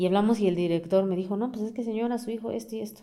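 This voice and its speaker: A woman's medium-pitched voice with a dark, mellow tone and lively intonation. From Mexico, Amealco, Querétaro. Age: 30s. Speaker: community forest activist. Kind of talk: interview.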